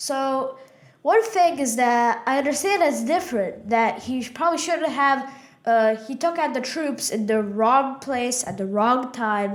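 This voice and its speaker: Over audible room echo, a woman speaks with a high pitch and lively intonation. She keeps a fairly slow pace. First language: Russian. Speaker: podcast co-host. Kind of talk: casual political discussion. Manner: hesitant, many fillers.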